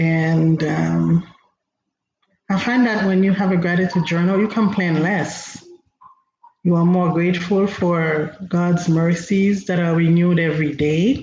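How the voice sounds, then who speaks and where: The speaker talks at a fairly slow pace with a Haitian accent. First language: Haitian Creole. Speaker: inspirational speaker. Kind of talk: motivational talk. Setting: livestream.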